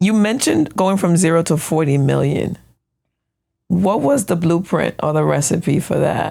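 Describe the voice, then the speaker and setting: A woman's fairly low, dark and mellow voice with an American accent, vocal fry and lively intonation, at a moderate pace and a very even loudness. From United States. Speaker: podcast host. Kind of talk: interview conversation.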